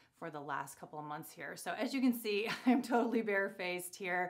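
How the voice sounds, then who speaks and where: The background is quiet. The speaker is a woman. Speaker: beauty vlogger. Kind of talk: casual vlog chat. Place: bathroom. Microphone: phone near.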